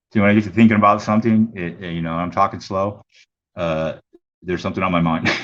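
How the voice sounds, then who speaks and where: A man talks at a very fast pace with fairly even intonation. His pitch is very deep and low. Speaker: coin auction streamer. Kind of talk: casual livestream chat. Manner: usually fast-talking; halting, many fillers.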